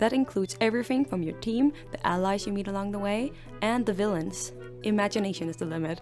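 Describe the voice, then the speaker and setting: Over music in the background, a woman with a strong non-native accent speaks at a very fast pace in a medium pitch, swinging very widely in pitch. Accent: thick non-native. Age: 20s. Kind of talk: casual scripted video narration. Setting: home recording, uneven audio quality.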